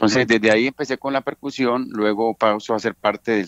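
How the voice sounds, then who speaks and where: With ordinary pitch variation and a fairly low pitch, a man talks fairly quickly. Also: quiet background. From Cali, Colombia. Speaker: bandleader and pianist. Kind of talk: interview. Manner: hesitant, many fillers.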